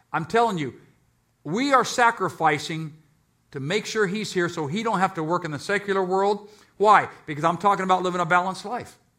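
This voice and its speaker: A man uses a raised, projected voice that is high, bright and sharp, with ordinary pitch variation. He goes at a fairly quick pace on a very clean recording with a silent background. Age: 60s. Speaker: pastor. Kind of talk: sermon. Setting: church. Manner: animated.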